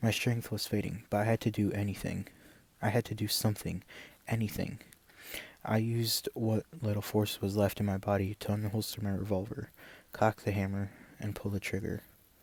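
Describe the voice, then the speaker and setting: Soft-spoken and somewhat breathy, the voice moves at a fairly quick pace in a flat monotone. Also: man, fairly low pitch for a man. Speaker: ASMR content creator. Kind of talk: story reading, first-person western narration.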